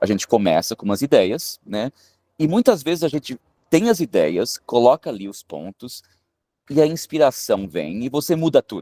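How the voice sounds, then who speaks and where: On a very clean recording with a silent background and a dry, close sound with no echo, a man speaks at a moderate pace with a fairly high pitch, a dark, mellow tone, vocal fry, very wide pitch swings and big swings in loudness. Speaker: film director and screenwriter. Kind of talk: interview. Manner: hesitant, many filler sounds.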